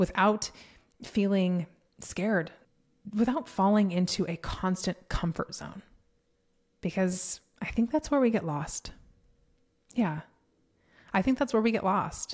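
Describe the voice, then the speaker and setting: A woman with a General American accent, medium pitch, animated tone, lively intonation, and somewhat breathy sound, at a fairly slow pace with long, frequent pauses. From Colorado. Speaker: podcast host and business coach. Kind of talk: casual monologue. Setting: home office studio.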